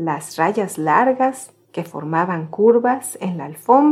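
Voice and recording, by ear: Someone is reading aloud in a natural voice, their intonation lively.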